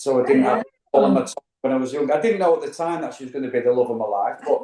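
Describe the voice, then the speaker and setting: A man with a Mancunian accent and a fairly high pitch. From Manchester, northern England. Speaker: travel vlogger. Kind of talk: casual interview chat. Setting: studio couch.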